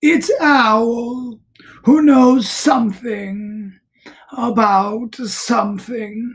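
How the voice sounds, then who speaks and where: A female-sounding put-on character voice, fairly high in pitch and very slow. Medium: read story. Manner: earnest, simple.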